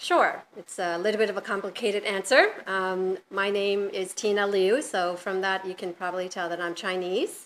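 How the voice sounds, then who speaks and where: A woman with an American accent talks at a medium pitch and a moderate pace, with hardly any pauses and fairly even intonation. It is an unremarkable speaking voice. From US, New York. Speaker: hotel general manager. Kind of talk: interview.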